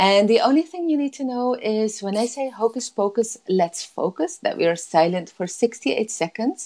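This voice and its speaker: The voice has a dark, mellow tone with a Dutch accent and very wide pitch swings. It runs on with hardly any pauses against a quiet background. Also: woman, fairly high pitch for a woman. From Netherlands. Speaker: life coach. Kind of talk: guided meditation. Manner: slow, soothing. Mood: warm, soothing, upbeat. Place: home room. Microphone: earbuds.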